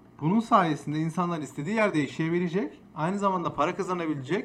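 This man's delivery goes at a fairly quick pace. The rise and fall of his pitch is ordinary. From Istanbul, Turkey. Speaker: streamer and podcast host. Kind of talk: casual chat.

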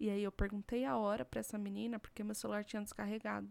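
A woman with a medium-pitched voice talks very fast. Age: 20s. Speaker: podcast co-host. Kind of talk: casual chat. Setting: home recording, not a studio.

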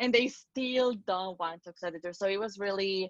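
A woman with a Spanish accent, in a dry, close sound with no echo. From Spain. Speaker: singer and pet owner. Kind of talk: interview testimony. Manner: halting, many fillers.

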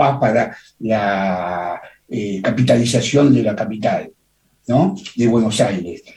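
Somewhat breathy and dark, mellow in tone, a man at medium pitch speaks at a fairly slow pace with ordinary pitch variation amid audible room echo. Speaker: radio co-host, poet. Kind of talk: radio interview. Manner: formal, ornate.

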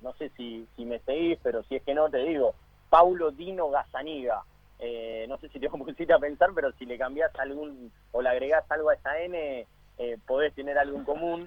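With a normal speaking voice, a man talks at a fairly high pitch and moderate pace, with ordinary pitch variation and big swings in loudness. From Argentina. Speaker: sports radio co-host. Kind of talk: radio interview. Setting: phone call.

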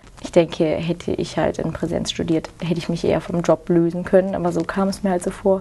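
Her voice has a dark, mellow tone and a medium pitch. The woman keeps a moderate pace and fairly even intonation. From Rhineland, Germany (near Cologne). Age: 20s. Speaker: farmer and agriculture student. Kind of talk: interview.

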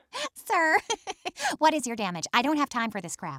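A woman's high-pitched voice moves at a moderate pace, with very wide pitch swings and big swings in loudness. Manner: sassy, impatient, annoyed.

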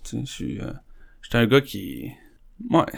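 His pitch sits at a medium level for a man. He talks fairly slowly. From Quebec, South Shore of Montreal. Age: 30s. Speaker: recovering alcoholic sharing his story. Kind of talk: testimony.

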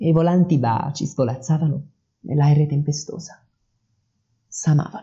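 A man with a dark, mellow tone and a fairly high pitch sounds somewhat breathy, leaving long, frequent pauses. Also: ordinary pitch variation, moderate pace. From Salerno, southern Italy. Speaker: amateur poet and podcaster. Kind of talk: poetry reading, read aloud in archaic verse. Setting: home recording, poor audio, background noise. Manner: emotional, slightly nervous.

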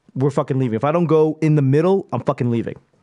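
The voice has a dark, mellow tone. It speaks in an American accent. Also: man. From Boston. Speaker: stand-up comedian. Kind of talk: casual chat.

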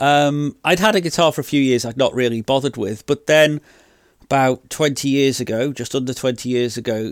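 Someone speaks at a moderate pace in a British accent. The sound is dry and close, with no echo. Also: man, very clean recording, silent background. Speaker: podcast host. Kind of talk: personal storytelling monologue.

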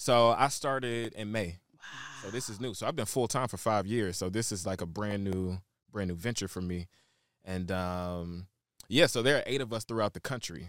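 An ordinary speaking voice with an American accent, a moderate pace and ordinary pitch variation, very clean recording, silent background. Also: man, fairly low pitch for a man. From Shreveport, Louisiana (and Chicago). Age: 20s. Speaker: celebrity stylist and brand curator. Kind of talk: interview.

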